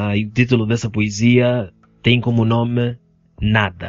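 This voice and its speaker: A man speaks at a fairly slow pace and a medium pitch, his intonation flat and monotone. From Angola, Benguela. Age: 20s. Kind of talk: casual chat.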